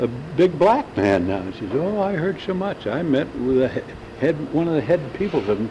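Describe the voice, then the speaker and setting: There is noticeable background noise. A man speaks with very wide pitch swings. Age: 70s. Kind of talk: oral history interview.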